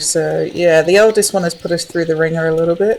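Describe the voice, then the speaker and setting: A woman with a fairly low pitch talks while noticeable noise fills the background. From southern England, Essex. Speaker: game streamer. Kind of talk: casual chat. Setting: live stream.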